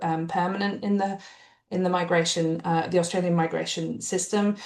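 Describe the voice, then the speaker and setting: With a British accent, a woman speaks at a fairly quick pace and fairly low pitch in a monotone, flat intonation. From UK. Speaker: refugee education researcher. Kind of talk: academic panel presentation. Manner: hesitant, many fillers.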